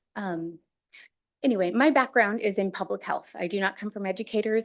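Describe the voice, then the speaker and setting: This woman has an unremarkable speaking voice at a medium pitch, with an American accent. Her intonation is lively, and the background is quiet. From Missouri. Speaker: school board candidate. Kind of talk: candidate statement at public meeting. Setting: board meeting.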